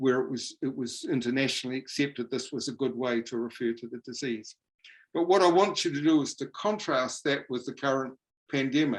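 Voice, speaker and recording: A man with a New Zealand accent talks at a fairly quick pace. His medium pitch shows ordinary variation. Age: 70s. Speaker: professor. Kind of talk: lecture. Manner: halting.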